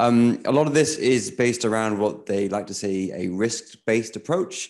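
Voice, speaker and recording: An unremarkable speaking voice at a moderate pace over a quiet background. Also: man. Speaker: technology journalist. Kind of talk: panel talk.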